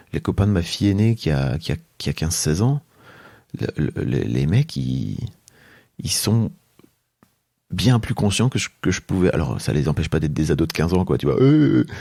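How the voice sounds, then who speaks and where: A man speaks at a moderate pace with a very deep, low pitch and a dark, mellow tone. The recording is very clean, with a silent background. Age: 40s. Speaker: entrepreneur and podcaster. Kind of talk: interview conversation. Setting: at his home. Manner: hesitant, many fillers.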